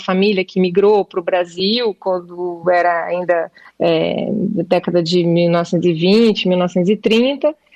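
The sound is dry and close with no echo. A woman speaks at a medium pitch. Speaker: actress and playwright. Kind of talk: interview. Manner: halting, many repetitions.

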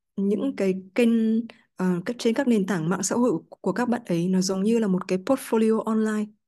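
A woman's dark, mellow, medium-pitched voice, fairly even intonation, moderate pace, quiet background. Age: 20s. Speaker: content creator. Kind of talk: interview. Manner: halting.

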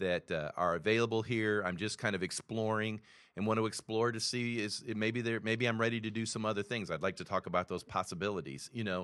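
Over a quiet background, a man talks at a fairly quick pace in an unremarkable speaking voice with fairly even intonation. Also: fairly low pitch for a man. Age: 60s. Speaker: pastor. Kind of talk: casual chat.

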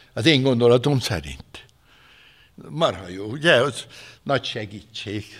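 A man's medium-pitched voice with vocal fry and lively intonation at a very slow pace, with big swings in loudness and long, frequent pauses. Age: 70s. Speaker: retired pastor. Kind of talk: sermon. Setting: church. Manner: animated.

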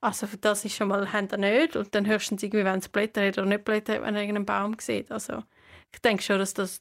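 Her pace is fairly quick, and her intonation stays fairly even with vocal fry. The recording of this woman is very clean, with a silent background. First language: not Swiss German; learned it after moving (speaking German). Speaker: podcast co-host. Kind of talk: casual chat.

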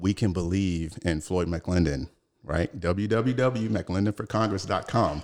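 A man's very deep, low voice in an American accent, very even in loudness, with ordinary pitch variation, a fairly slow pace and a very clean recording with a silent background. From Chicago, US Midwest. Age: 40s. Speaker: political candidate, retired Navy SEAL. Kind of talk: interview. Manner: halting.

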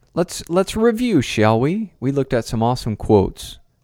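In a very clean recording with a silent background and a dry, close sound with no echo, a man uses a normal speaking voice at a moderate pace. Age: 30s. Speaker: podcast host and counselor. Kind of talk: casual monologue.

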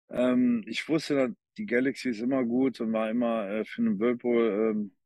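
With a Cologne accent, a man talks at a moderate pace in a dark, mellow tone with fairly even intonation, the sound dry and close with no echo over a quiet background. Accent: Cologne-tinged German. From Cologne, Germany. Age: 50s. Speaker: former American football player. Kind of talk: casual interview chat.

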